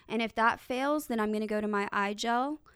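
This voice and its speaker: On a very clean recording with a silent background, a woman with a plain, everyday voice speaks at a moderate pace, her pitch fairly high with ordinary pitch variation. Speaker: district chief paramedic. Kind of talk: educational podcast discussion. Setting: studio podcast.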